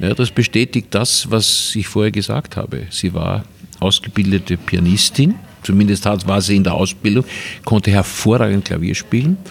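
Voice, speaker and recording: A man's unremarkable speaking voice, fairly low in pitch, at a moderate pace with ordinary pitch variation. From Vienna, Austria. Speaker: filmmaker. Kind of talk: casual interview. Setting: Viennese coffee house.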